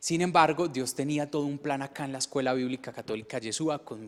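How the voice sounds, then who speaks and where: A man's fairly high voice carries fairly even intonation. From Colombia, Medellín. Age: 30s. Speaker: testimony speaker. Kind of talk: testimony. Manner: halting.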